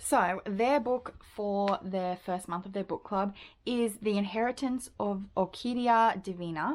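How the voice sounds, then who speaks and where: A woman with an Australian accent speaks at a fairly slow pace, medium in pitch with ordinary pitch variation. The recording is very clean, with a silent background. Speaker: book video creator. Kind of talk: casual vlog monologue. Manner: chatty, casual with fillers.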